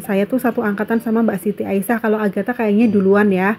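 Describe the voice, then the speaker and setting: Music plays in the background as a woman speaks at a fairly high pitch. Her intonation is monotone and flat. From Central Java, Banyumas region (Purbalingga). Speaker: housewife vlogger. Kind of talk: casual vlog chat. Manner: casual, hesitant with fillers.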